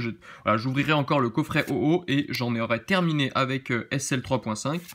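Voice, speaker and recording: His pitch sits fairly high and varies in an ordinary way. This man speaks at a moderate pace. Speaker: card-opening YouTuber; card opening youtuber. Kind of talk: unboxing commentary. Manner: animated. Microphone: phone near.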